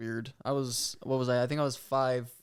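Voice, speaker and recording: With an American accent, a man speaks at a medium pitch and with fairly even intonation. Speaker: podcast co-host. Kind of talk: casual chat.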